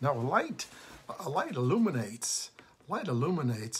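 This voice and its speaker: Somewhat breathy, a man talks at a moderate pace. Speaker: pastor. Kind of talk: devotional talk, sermon-like. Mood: warm, earnest. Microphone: phone near.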